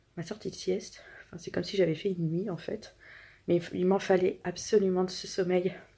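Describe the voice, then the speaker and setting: A quiet woman at a medium pitch, with a dark, mellow tone, a monotone, flat intonation and a moderate pace. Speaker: family vlogger, mother. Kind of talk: casual vlog. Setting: at home.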